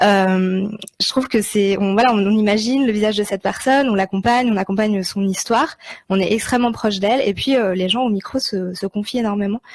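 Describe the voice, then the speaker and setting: With fairly even intonation, a woman talks at a fairly quick pace. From Switzerland. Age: 20s. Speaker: podcast producer. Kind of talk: interview.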